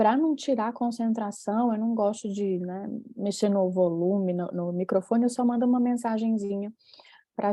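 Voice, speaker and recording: This woman's voice sits at a medium pitch that varies in an ordinary way. Her pace is moderate. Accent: Fortaleza. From Brazil, Fortaleza (Ceará). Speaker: professor, session chair. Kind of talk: conference session moderation.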